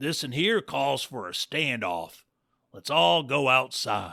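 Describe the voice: A man puts on a character voice with a bright, sharp tone, medium pitch and vocal fry. He speaks at a slow pace with big pitch swings.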